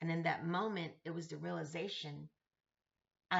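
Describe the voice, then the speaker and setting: Fairly low for a woman, her voice carries vocal fry and fairly even intonation at a moderate pace. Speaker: vlogger sharing personal journey. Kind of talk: personal reflective monologue.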